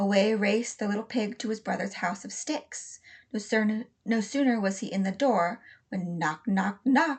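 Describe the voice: The voice reads aloud plainly with ordinary pitch variation.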